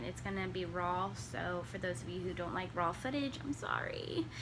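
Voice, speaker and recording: At a moderate pace, a woman talks over noticeable background noise with audible room echo. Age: 20s. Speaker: knitting podcaster. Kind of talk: casual chat. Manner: halting.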